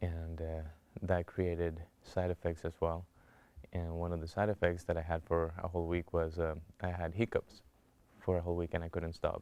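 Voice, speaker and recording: In a Spanish accent, the speaker holds a monotone, flat intonation on a very clean recording with a silent background. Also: man. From Colombia. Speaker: cancer survivor. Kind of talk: testimony.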